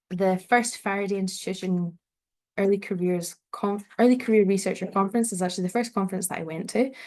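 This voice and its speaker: A woman in a Scottish accent at medium pitch, very fast pace and fairly even intonation, quiet background. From Scotland, North Ayrshire. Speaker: PhD researcher and event host. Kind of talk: online event presentation. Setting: online event, video call.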